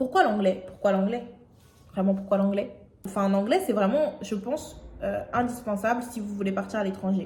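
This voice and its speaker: A woman speaks at a medium pitch and a fairly slow pace with ordinary pitch variation, her voice carrying audible room echo over noticeable background noise. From France, Aubervilliers (Paris suburbs). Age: 20s. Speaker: YouTuber. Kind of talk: vlog monologue. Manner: hesitant, many fillers.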